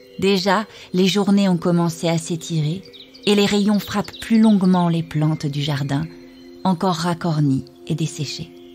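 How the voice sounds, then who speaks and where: A woman speaks at a fairly slow pace with ordinary pitch variation and long, frequent pauses, with music in the background. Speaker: voice-over narrator. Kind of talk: poetic narration.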